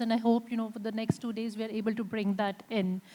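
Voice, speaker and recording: Somewhat breathy, a woman talks at a very fast pace. Her fairly high voice is monotone, with flat intonation. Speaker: panel moderator. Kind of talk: panel discussion moderation. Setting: conference stage with audience.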